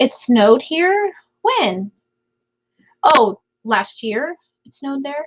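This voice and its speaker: The speech moves at a very slow pace with long, frequent pauses. Pitch swings very widely and loudness shifts a lot, in a dry, close sound with no echo. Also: woman, high pitch for a woman. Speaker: live stream host. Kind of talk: casual chat with live chat viewers. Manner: quieter than intended.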